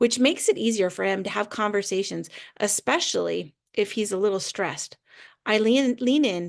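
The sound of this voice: A reader speaks in an unforced way. Behind the voice, it stays quiet.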